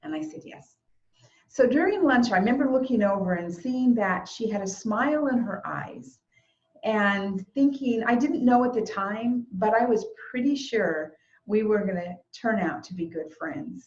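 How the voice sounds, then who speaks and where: A woman with an ordinary speaking voice talks at a moderate pace, her pitch fairly high and her intonation lively. Her loudness swings widely. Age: 60s. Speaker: eulogist. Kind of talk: eulogy. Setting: video call.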